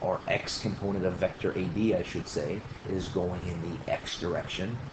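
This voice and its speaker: Amid noticeable background noise, a man with a very deep, low pitch speaks with fairly even intonation. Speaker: engineering instructor. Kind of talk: tutorial. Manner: fast.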